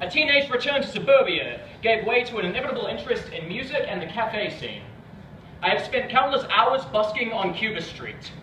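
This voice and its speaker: With a fairly quick pace, this voice carries audible room echo and noticeable background noise, showing ordinary pitch variation and big swings in loudness. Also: man, extremely high pitch for a man. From New Zealand. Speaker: spoken word poet. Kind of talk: performance poetry. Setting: stage with audience.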